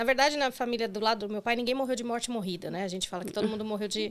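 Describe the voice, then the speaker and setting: Pitched fairly high, the woman's voice carries fairly even intonation. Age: 40s. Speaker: breast cancer survivor. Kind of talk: interview testimony. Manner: halting.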